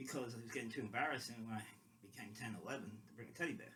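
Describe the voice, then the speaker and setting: A man is heard with audible room echo. Noticeable noise sits in the background. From London. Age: 50s. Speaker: football fan vlogger. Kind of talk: casual monologue. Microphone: quiet, temporary mic.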